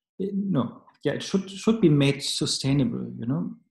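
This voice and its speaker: A man speaks at a fairly slow pace, with vocal fry. His pitch swings very widely. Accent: German. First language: German. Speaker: Buddhist teacher. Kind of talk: dharma teaching. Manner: halting.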